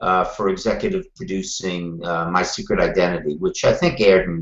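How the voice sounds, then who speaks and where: A man speaks with a Brooklyn accent. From Brooklyn, New York. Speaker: TV producer. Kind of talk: interview.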